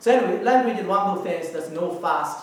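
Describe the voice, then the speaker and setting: Talking at a fairly quick pace in a Chinese accent with ordinary pitch variation, a man is heard through audible room echo and noticeable background noise. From China. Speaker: professor. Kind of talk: lecture. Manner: fast.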